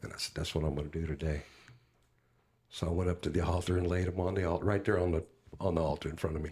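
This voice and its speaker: In a very clean recording with a silent background, a man with an American accent speaks at a very deep, low pitch, somewhat breathy and in a flat monotone. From US (California and Alabama). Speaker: youth minister and singer. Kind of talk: personal testimony in podcast interview. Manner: halting with many fillers.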